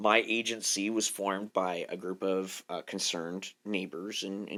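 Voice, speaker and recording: A man's very deep, low voice with a bright, sharp tone and fairly even intonation, on a very clean recording with a silent background. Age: 40s. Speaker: nonprofit director. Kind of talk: interview testimony. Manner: halting, many fillers and restarts.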